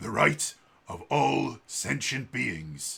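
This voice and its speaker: A man puts on a raspy character voice at a medium pitch. His pitch swings very widely. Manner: put-on character voice.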